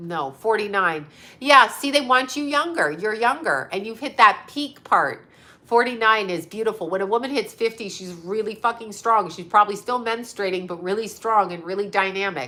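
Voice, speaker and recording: A woman's fairly high, animated voice at a moderate pace, with lively intonation and big swings in loudness. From Canada. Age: 50s. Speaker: psychic medium. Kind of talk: casual livestream chat with viewers.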